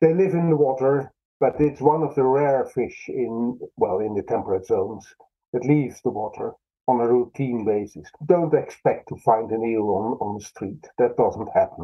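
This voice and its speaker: A man with a Dutch accent speaks at medium pitch and a moderate pace. His intonation is lively. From Netherlands. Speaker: fisheries scientist. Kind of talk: interview.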